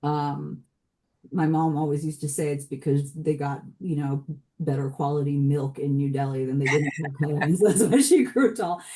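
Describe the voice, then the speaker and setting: A woman with an American accent speaks at a moderate pace in a very deep, low voice, dark and mellow in tone, with ordinary pitch variation. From US (Washington DC, Chicago, San Francisco). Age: 40s. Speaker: multidisciplinary artist and writer. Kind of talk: podcast interview. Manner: hesitant, many repetitions and fillers.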